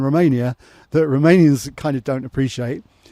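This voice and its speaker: Speaking with an English accent, a man has a fairly high pitch and a dark, mellow tone. He goes at a fairly quick pace with fairly even intonation. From England. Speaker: expat entrepreneur. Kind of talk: casual talk to camera.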